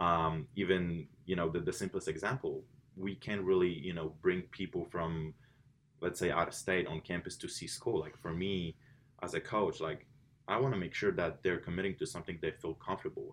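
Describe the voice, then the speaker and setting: A man with a Polish accent and a very deep, low pitch talks at a moderate pace with fairly even intonation. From Poland. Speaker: college swim coach. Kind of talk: interview. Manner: many fillers and repetitions.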